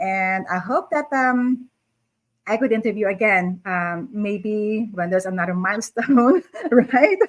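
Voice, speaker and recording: A woman speaks at a fairly slow pace with a fairly high pitch. It is an unremarkable speaking voice with ordinary pitch variation. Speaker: interview host. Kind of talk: casual interview. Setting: live stream video call.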